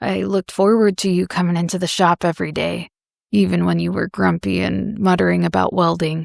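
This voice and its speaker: This woman puts on a character voice that is raspy and very deep, low in pitch. She goes at a fairly quick pace on a very clean recording with a silent background. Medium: read story. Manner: careful.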